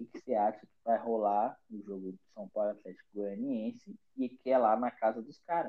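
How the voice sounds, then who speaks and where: A man with an unremarkable speaking voice keeps a moderate pace and fairly even intonation, though his loudness swings widely. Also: medium pitch for a man. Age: 20s. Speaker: football podcast host. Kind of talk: casual chat. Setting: remote call from home.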